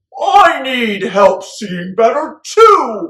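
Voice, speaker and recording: Loud and shouting, a put-on character voice rings out at a fairly high pitch with very wide pitch swings. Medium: read story. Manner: loud, shouting.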